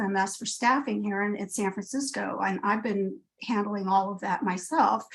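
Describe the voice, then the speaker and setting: A woman speaks in a somewhat breathy voice. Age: 60s. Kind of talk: public comment testimony. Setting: video call. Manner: halting, many fillers.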